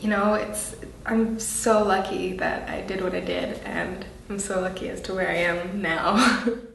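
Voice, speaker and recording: Through noticeable background noise and audible room echo, a woman talks at a fairly slow pace. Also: medium pitch for a woman. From Canada. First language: French. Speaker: actress. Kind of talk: interview. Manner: animated.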